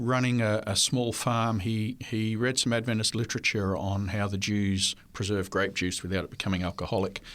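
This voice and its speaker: A man is speaking. He talks with an Australian accent. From Australia (New South Wales). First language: French. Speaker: history professor. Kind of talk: interview. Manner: hesitant with fillers.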